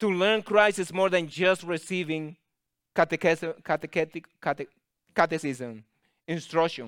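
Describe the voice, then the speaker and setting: A man's high voice with a Spanish accent, at a moderate pace and with ordinary pitch variation, in a dry, close sound with no echo on a very clean recording with a silent background. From Latin America. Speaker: guest preacher. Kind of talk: sermon.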